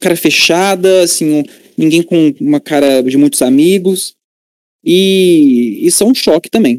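The sound is dry and close with no echo. A man with a high pitch and lively intonation talks at a moderate pace. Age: 20s. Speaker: computer engineering student. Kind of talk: interview.

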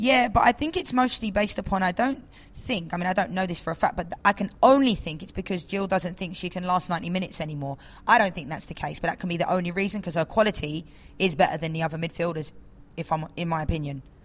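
A woman speaks at a very fast pace with an English accent. Her medium-pitched voice is somewhat breathy, with ordinary pitch variation. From England. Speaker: professional footballer. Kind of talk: casual chat.

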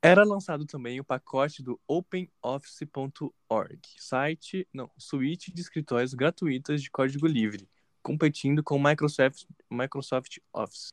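A man with an ordinary speaking voice, fairly high in pitch, at a fairly slow pace with ordinary pitch variation and big swings in loudness, in a dry, close sound with no echo. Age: 20s. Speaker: podcast co-host, university student. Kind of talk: casual chat.

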